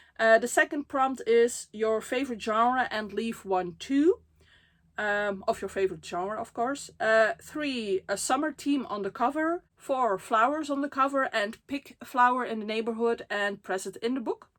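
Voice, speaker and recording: Recorded very cleanly against a silent background, a woman with a Dutch accent speaks in a fairly high pitch with lively intonation. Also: moderate pace. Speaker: book vlogger. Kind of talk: casual vlog talk. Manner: frequent fillers, hesitant.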